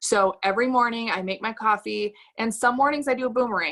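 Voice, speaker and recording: A woman speaks in a fairly high pitch with a bright, sharp, animated tone and ordinary pitch variation. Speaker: network marketing team leader. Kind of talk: motivational training talk on video call. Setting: video call. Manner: stutters at times; animated, casual.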